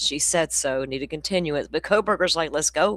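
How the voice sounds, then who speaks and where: Recorded very cleanly against a silent background, with a dry, close sound and no echo, a woman speaks at a moderate pace in a fairly low pitch with ordinary pitch variation. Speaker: true crime livestream host. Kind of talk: casual chat. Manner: loud.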